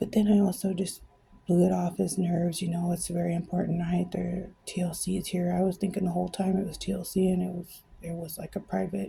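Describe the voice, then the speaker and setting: Quiet and flat, this woman's voice has a dark, mellow tone, vocal fry, a fairly low pitch and monotone intonation. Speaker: vlogger telling her side of a scam. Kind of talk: personal testimony to camera. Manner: quiet, hushed; hesitant, many fillers.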